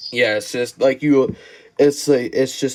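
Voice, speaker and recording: Here a man speaks with a medium pitch. His pace is fairly slow. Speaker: podcast host. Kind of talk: casual interview. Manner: halting, many fillers.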